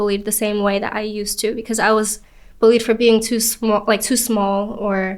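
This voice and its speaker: At a fairly quick pace, a woman with a Spanish accent speaks in a fairly high pitch and a monotone, flat intonation. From New York City, Queens. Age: 20s. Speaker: actress and content creator. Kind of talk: podcast interview.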